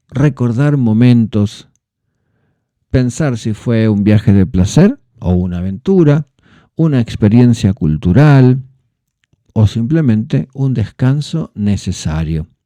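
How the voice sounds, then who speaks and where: Speaking very slowly with a Rioplatense accent, a man leaves long, frequent pauses, his tone dark and mellow. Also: medium pitch for a man, dry, close sound with no echo. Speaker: Spanish teacher, podcast host. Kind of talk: educational podcast narration for learners. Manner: clear, measured pace for learners.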